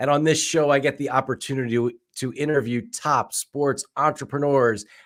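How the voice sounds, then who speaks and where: The speaker is a man with a plain, everyday voice. His medium pitch moves at a moderate pace. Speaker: venture capitalist, show host. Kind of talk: podcast interview host.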